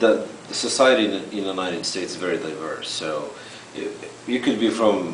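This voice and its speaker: With audible room echo and noticeable background noise, a man with a non-native accent talks at a fairly quick pace, his fairly low voice showing ordinary pitch variation. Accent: foreign. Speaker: immigrant interviewee. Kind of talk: interview.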